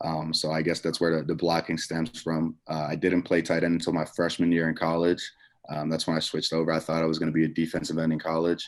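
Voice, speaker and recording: A man talks at a very fast pace in a very deep, low voice. His intonation stays flat and monotone. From Netherlands. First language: Dutch. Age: 20s. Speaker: college football player. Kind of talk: press conference interview.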